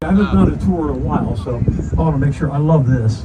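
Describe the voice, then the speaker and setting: Over crowd noise in the background, the speaker talks at a moderate pace. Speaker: tour guide. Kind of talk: guided tour commentary. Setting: outdoors on a tour boat. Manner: animated.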